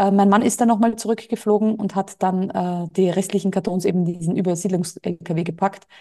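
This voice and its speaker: A woman with a medium-pitched, dark and mellow voice talks at a moderate pace with fairly even intonation and hardly any pauses. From Austria. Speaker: entrepreneur and business coach. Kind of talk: interview.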